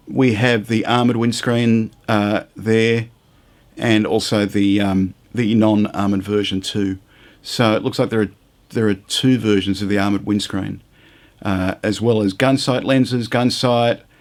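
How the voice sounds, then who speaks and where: Here a man in an Australian accent speaks with a fairly low pitch at a fairly slow pace, his intonation monotone and flat and his loudness very even. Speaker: scale model reviewer. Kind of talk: product unboxing and review. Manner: casual, hesitant with fillers.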